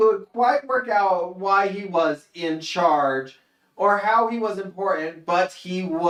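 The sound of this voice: Over a quiet background, an unforced reading voice comes through.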